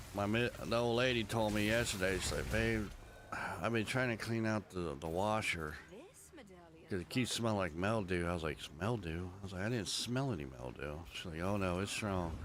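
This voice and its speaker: A man with an American accent talks at a moderate pace in a fairly low voice with ordinary pitch variation. Audible room echo surrounds his speech. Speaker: video game streamer and war veteran. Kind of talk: casual chat. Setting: live stream. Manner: casual, rambling with fillers.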